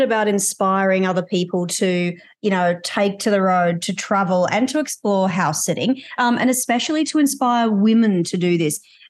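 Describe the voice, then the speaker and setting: A woman speaks with an Australian accent at a moderate pace and medium pitch. Her intonation is lively, and the background is quiet. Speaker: podcast host. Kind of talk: interview.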